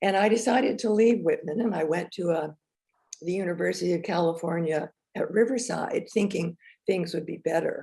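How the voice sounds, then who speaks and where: A woman speaks at a fairly quick pace in a fairly low pitch with ordinary pitch variation. Her tone is dark and mellow and somewhat breathy. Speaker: filmmaker and former teacher. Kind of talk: talk to an audience. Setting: virtual presentation.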